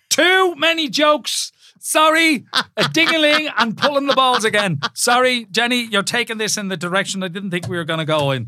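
Speaking in a raised, projected voice with an Irish accent, a man talks at a moderate pace with hardly any pauses. His pitch is extremely high and swings very widely, and his tone is bright and sharp. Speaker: presenter, podcast co-host. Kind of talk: casual chat.

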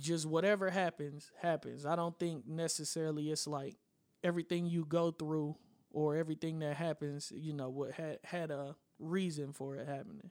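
Here a man talks at a moderate pace. He has an unremarkable speaking voice with a fairly high pitch. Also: fairly even intonation. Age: 20s. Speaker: music producer and podcaster. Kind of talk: casual chat. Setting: studio.

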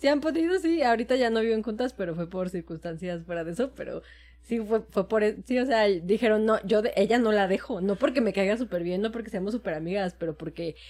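Fairly quick and lively in intonation, this is a normal speaking voice. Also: woman, fairly high pitch for a woman. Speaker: podcast co-host. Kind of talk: casual chat.

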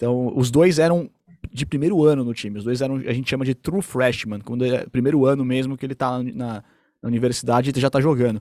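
This man speaks at a very fast pace in a medium pitch. His tone is dark and mellow, with ordinary pitch variation. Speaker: sports commentator. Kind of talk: casual sports chat.

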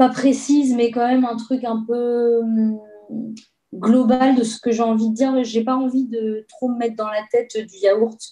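At a fairly high pitch, a woman speaks at a fairly slow pace in a flat, monotone way. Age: 30s. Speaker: guitarist and singer. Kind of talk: casual interview.

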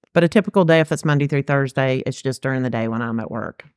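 A woman speaks with a Southern US accent. Her voice is very deep and low, with a dry, close sound and no echo. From Georgia, US South. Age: 50s. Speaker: music fan. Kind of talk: casual chat.

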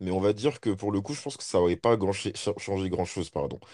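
In a very clean recording with a silent background, a man talks in a very deep, low pitch with a dark, mellow tone. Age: 20s. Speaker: podcast co-host. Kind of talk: casual chat.

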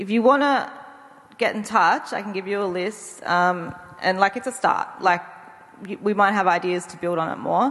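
Noticeable background noise accompanies a woman who speaks at a moderate pace and medium pitch, with an Australian accent. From Tasmania, Australia. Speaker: space researcher, anthropologist. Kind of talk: panel discussion.

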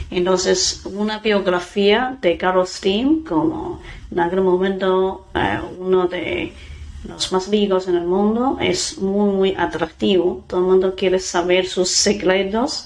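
With a Mandarin Chinese accent, a woman speaks at a very slow pace with ordinary pitch variation, over noticeable background noise. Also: medium pitch for a woman. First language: Mandarin Chinese (speaking Spanish). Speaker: dairy company representative. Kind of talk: interview. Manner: halting.

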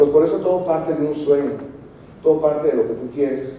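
A man with a fairly high pitch talking at a very fast pace, with audible room echo and noticeable background noise. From Mexico, Morelia (Michoacán). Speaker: motivational speaker, network marketer, actor. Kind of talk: motivational talk.

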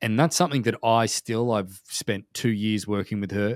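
A man with an Australian accent and fairly low pitch talks at a fairly quick pace with ordinary pitch variation, in a dry, close sound with no echo. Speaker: podcast host. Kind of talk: casual interview. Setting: video call.

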